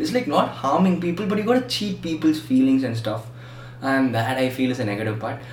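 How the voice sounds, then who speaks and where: A man's voice swings very widely in pitch, with audible room echo and noticeable background noise around it. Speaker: podcast host. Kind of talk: casual chat.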